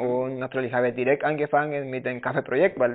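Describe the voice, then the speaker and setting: With a Spanish accent, a man talks at a medium pitch with ordinary pitch variation. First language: Spanish (speaking German). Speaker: coffee producer and roaster. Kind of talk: casual interview. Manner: halting, many fillers.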